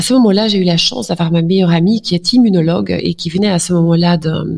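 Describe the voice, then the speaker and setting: Speech comes at a very fast pace with ordinary pitch variation. Noticeable background noise sits under it. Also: woman. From Flanders, Belgium. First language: Dutch (speaking French). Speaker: doctor. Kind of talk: interview. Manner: hesitant, many fillers.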